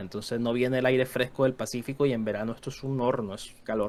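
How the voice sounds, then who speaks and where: Someone talks with a Venezuelan accent. The pace is very fast. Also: man. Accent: Venezuelan, kept. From Venezuela, Caracas. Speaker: history content creator. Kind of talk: casual podcast chat. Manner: halting.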